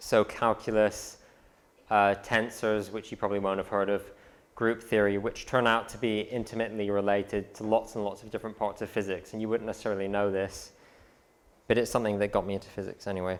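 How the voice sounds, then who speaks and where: A man with an American accent talks at a very fast pace in a monotone, flat intonation. The recording is very clean, with a silent background. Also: fairly low pitch for a man. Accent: London English with a slight American twang. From London. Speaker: physics graduate giving a talk. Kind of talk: presentation to students. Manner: casual, with frequent fillers.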